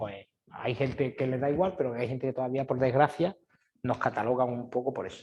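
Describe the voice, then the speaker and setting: A man with a dark, mellow, somewhat breathy tone speaks at a fairly quick pace. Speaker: exam prep teacher. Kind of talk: information session. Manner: fast.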